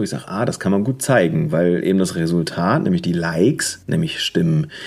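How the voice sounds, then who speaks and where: Amid noticeable background noise, a man talks with very wide pitch swings. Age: 30s. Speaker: photographer. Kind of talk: casual chat. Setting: video call.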